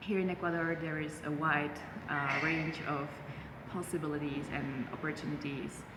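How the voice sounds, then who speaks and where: This woman talks at a moderate pace with a Czech accent, her pitch very deep and low and her intonation flat and monotone. Noticeable background noise and audible room echo surround her voice. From Czech Republic, Prague. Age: 20s. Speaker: human rights worker and university lecturer. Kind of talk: interview. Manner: halting, many fillers.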